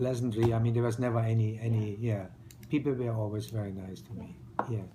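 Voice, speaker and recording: Over audible room echo, a man with a German accent talks very fast in a medium pitch with fairly even intonation. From East Germany. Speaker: retired restaurateur, immigrant. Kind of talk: interview. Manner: halting, with many fillers.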